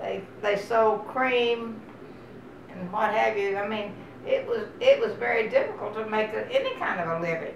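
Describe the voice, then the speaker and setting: Noticeable background noise and audible room echo surround the recording. A woman with a Texan accent speaks at a moderate pace. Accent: Texas Southern. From Texas. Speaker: oral history interviewee. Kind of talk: oral history interview. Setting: at her home.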